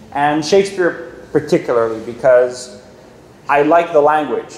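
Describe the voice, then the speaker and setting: Against noticeable background noise, a man with a non-native accent talks with ordinary pitch variation. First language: not English. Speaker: filmmaker. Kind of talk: Q&A session with students. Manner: animated.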